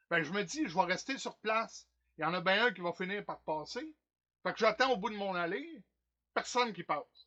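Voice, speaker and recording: A man speaks at a moderate pace in a high voice with lively intonation. He leaves long, frequent pauses. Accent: Quebec. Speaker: stage actor. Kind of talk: theatre monologue performance. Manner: comic, animated, colloquial.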